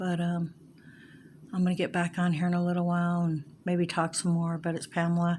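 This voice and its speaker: A woman's somewhat breathy voice at a fairly quick pace, monotone and flat, with very even loudness. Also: fairly low pitch for a woman. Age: 60s. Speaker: vlogger, amateur painter. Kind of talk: casual talk to camera. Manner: halting, many fillers.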